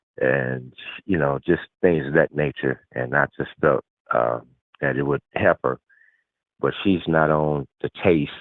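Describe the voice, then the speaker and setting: A man speaks at a fairly slow pace in a very deep, low voice, with fairly even intonation and long, frequent pauses. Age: 60s. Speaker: customer. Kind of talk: testimony. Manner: halting, many fillers.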